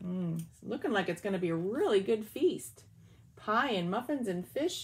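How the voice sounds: What you hear is a natural voice doing the reading.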